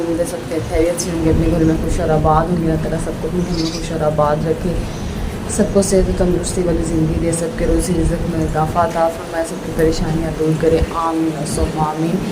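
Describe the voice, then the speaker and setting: Audible room echo and noticeable background noise surround a woman speaking at a moderate pace in a fairly low pitch. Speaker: home vlogger. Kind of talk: casual vlog chat with cooking. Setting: home kitchen during rain.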